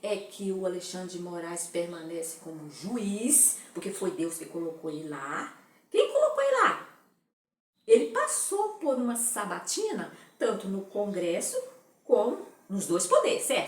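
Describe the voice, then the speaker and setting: A woman talks at a fairly slow pace with big swings in loudness. Audible echo fills the room. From Brazil. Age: 60s. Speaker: political commentator. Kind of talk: opinion monologue.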